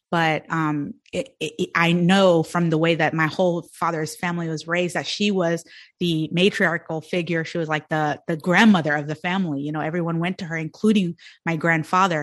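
A woman speaks at a fairly quick pace in an unremarkable speaking voice with a fairly low pitch. Her intonation is fairly even, and the background is quiet. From India and Sudan, immigrated to US as child. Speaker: entrepreneur and business coach. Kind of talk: podcast interview.

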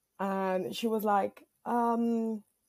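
Ordinary pitch variation and a dark, mellow tone, with a non-native accent. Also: woman. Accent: foreign. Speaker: caller. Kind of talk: storytelling.

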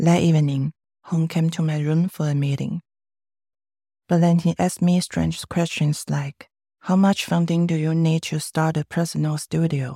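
With a dark, mellow tone and a fairly low pitch, a woman speaks in a flat monotone, recorded very cleanly, dry and close with no echo against a silent background. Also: moderate pace. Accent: Chinese. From Taiwan. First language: Mandarin Chinese. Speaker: filmmaker. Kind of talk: testimony. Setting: studio.

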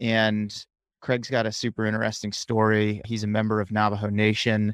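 A man talks at a moderate pace with a fairly low pitch and monotone, flat intonation, on a very clean recording with a silent background and a dry, close sound with no echo. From central Massachusetts, near Worcester. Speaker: running coach and podcaster. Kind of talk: casual interview.

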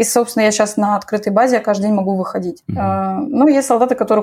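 Talking at a very fast pace, a woman uses a fairly high pitch, a dark, mellow tone and ordinary pitch variation. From Moscow, Russia. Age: 20s. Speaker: dentist and soldier. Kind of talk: interview.

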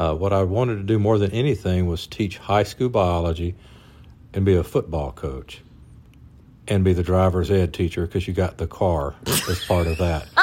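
With a Mississippi accent, a man speaks at a moderate pace in a very deep, low pitch, his tone dark and mellow and his pitch varying in an ordinary way. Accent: Southern US (Mississippi). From US South, North Mississippi. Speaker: physician, husband of host. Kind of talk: casual interview, personal story.

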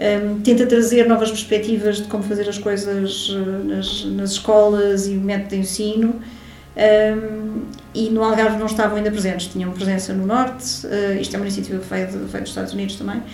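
A woman talks fairly quickly at a medium pitch with fairly even intonation. Noticeable background noise and audible room echo are present. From Lisbon, Portugal. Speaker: hi-fi company co-founder and engineer. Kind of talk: interview.

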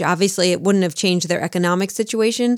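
A woman speaks in a New Jersey accent. The sound is dry and close, with no echo. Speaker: true crime podcast co-host. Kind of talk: casual chat.

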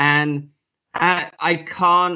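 Spoken with an English accent, the voice keeps a fairly even intonation. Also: man. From England. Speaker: author and podcaster. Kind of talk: casual interview chat. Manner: swears casually, jokes.

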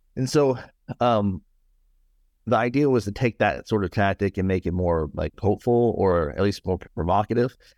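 A man with an American accent and a plain, everyday voice speaks at a moderate pace, his pitch fairly low with ordinary variation. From US South, Nashville, Tennessee. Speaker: author. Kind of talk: interview conversation.

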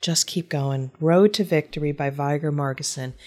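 A woman talks at a fairly quick pace with a Midwestern accent. Her voice is very deep and low, with a dark, mellow tone and fairly even intonation. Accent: American (Midwest). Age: 50s. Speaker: business author and podcast host. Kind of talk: casual interview chat.

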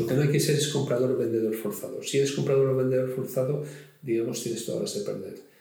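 Fairly quick speech from a man at a medium pitch, lively in intonation, with audible room echo and noticeable background noise. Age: 60s. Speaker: retired fund manager and investment blogger. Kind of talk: interview. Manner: animated.

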